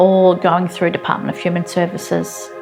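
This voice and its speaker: Music plays in the background. A woman talks in a fairly low voice. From Australia. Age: 40s. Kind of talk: interview answer.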